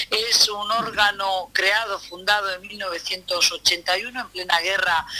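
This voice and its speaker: A woman with a Spanish accent speaks at a moderate pace and medium pitch with fairly even intonation. Background noise is noticeable. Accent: Spanish (Spain). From Spain, Basque Country (Vitoria), Galician parents. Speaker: international analyst, university lecturer. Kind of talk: interview.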